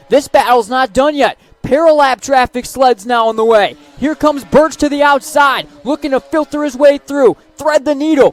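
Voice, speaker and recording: The speech moves at a moderate pace with fairly even intonation, and music plays in the background. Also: man, extremely high pitch for a man. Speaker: racing play-by-play announcer. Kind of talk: live sports play-by-play broadcast.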